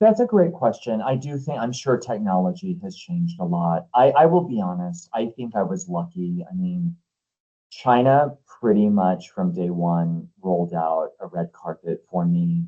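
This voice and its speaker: The speaker has an American accent. Their pitch swings are very wide. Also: man, medium pitch for a man, moderate pace. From US Southwest, New Mexico. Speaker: author and HR expert. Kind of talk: interview Q&A.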